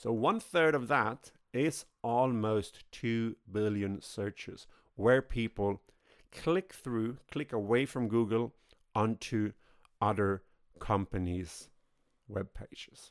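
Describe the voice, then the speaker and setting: At a very slow pace with long, frequent pauses, the speaker uses ordinary pitch variation in a Swedish accent, on a very clean recording with a silent background and a dry, close sound with no echo. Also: man, medium pitch for a man. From Sweden. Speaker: podcast host. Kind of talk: solo podcast monologue.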